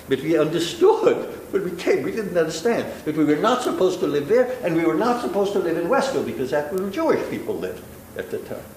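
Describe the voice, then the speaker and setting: Very fast speech comes through audible room echo and noticeable background noise. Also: man. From Italy. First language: Italian. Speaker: law professor and judge. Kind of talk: lecture.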